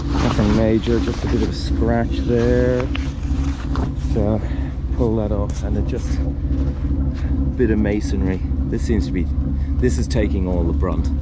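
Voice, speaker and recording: A man at a fairly slow pace with ordinary pitch variation and long, frequent pauses, in a dry sound with no echo, over loud background noise. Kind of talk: casual vlog chat. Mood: slightly tense, focused. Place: boat.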